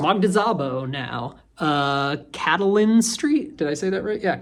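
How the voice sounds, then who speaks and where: An American accent at a moderate pace. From US. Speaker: booktuber. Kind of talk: casual monologue. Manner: halting, many fillers.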